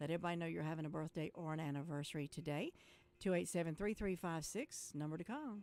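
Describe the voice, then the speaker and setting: Very fast speech in a North Carolina accent, with ordinary pitch variation. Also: woman, fairly low pitch for a woman. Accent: Southern US (North Carolina). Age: 60s. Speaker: radio host. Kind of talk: casual radio chat.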